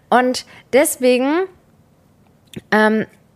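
The woman's intonation is lively. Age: 20s. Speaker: podcast co-host. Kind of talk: casual chat.

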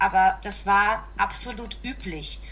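Noticeable background noise fills the clip. The voice is a woman's. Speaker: podcast guest. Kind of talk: casual chat.

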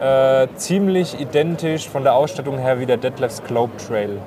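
A voice with ordinary pitch variation comes through over noticeable background noise. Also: man. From southwestern Germany, Odenwald. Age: 20s. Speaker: camper dealer and YouTuber. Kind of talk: casual chat. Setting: trade fair floor.

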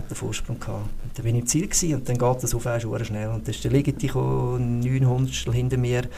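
A man speaks at a moderate pace in a space with audible room echo and noticeable background noise. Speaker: sports physiotherapist, former ski racer. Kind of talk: podcast interview.

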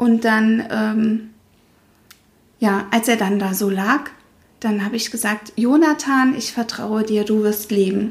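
Very slow and marked by long, frequent pauses, a woman's speech keeps a fairly even intonation. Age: 30s. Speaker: mother sharing miscarriage experience, former dental worker. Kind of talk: interview, personal testimony.

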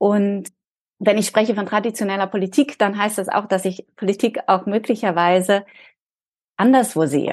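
A woman speaks at a moderate pace with long, frequent pauses. Her medium pitch shows ordinary variation. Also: quiet background. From Berlin, Germany. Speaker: leadership and resilience coach. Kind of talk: interview.

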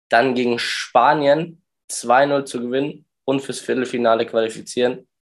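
Very slowly, a man speaks with a medium pitch and ordinary pitch variation. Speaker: podcast host. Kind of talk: casual podcast chat.

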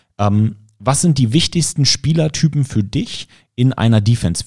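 A man speaks at a moderate pace in a medium pitch, his dark, mellow voice somewhat breathy with lively intonation. The recording is very clean, with a silent background. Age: 30s. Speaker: podcast host and football commentator. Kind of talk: casual interview.

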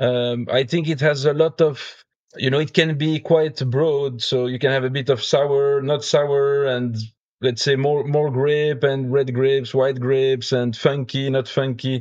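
Speaking at a fairly slow pace with a French accent, a man with a fairly high pitch keeps a monotone, flat intonation. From Belgium. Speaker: beer judge and brewer. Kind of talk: casual chat.

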